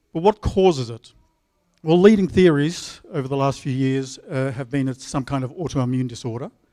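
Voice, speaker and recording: A man speaks with an Australian accent at a moderate pace, his pitch medium with ordinary variation. His tone is dark and mellow. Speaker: epidemiologist. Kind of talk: conference talk.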